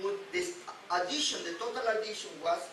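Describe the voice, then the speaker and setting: A man talks at a fairly slow pace. Noticeable background noise and audible room echo surround him. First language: Spanish. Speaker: rabbi teaching weekly Torah portion. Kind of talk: religious teaching lecture. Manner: halting, frequent repetitions.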